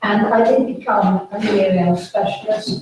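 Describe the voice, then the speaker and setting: This woman's fairly even intonation comes with audible room echo. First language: French English bilingual from early childhood. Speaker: retired teacher educator and researcher. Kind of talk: conference talk.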